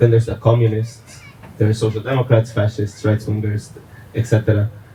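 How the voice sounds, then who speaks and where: Noticeable background noise sits under a man's medium-pitched voice with monotone, flat intonation. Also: fairly quick pace. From Costa Rica. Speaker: audience member. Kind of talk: audience comment. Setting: outdoors at community garden event.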